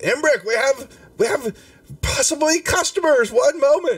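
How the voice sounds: A man puts on a character voice at an extremely high pitch. He speaks at a moderate pace with very wide pitch swings.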